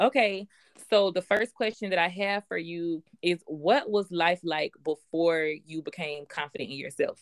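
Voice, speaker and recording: She talks at a moderate pace, a woman with fairly low pitch. Her pitch varies in an ordinary way. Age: 20s. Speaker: podcast host and business coach. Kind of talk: casual chat.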